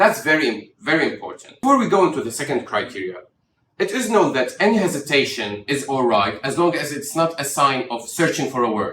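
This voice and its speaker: Speaking fast-ish in an Arabic accent, a man with a fairly high pitch and a bright, sharp tone makes very wide pitch swings. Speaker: doctor. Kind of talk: tutorial. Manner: expressive intonation, demonstrates stress and rhythm.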